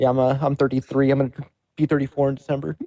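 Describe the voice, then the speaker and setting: Rattling along at a very fast pace, a man with a fairly high pitch and a dark, mellow tone speaks in a flat monotone at very even loudness, the sound dry and close with no echo. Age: 30s. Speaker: tournament player being interviewed.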